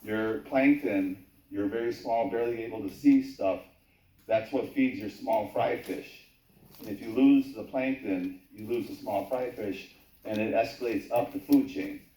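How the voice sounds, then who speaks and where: A man's dark, mellow tone at medium pitch, with big swings in loudness. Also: ordinary pitch variation, moderate pace. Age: 50s. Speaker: YouTuber recording local meetings, public commenter. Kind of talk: public hearing testimony. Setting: town hall public hearing.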